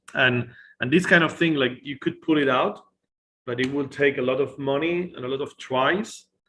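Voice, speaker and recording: A man's fairly quick pace with ordinary pitch variation. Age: 40s. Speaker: photographer and AI artist. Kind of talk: casual chat with screen demo.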